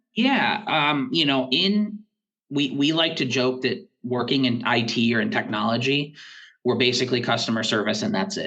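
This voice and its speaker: A man of medium pitch, with a bright, sharp tone and very wide pitch swings, speaks at a moderate pace. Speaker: school technology director. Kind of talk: podcast interview. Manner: halting.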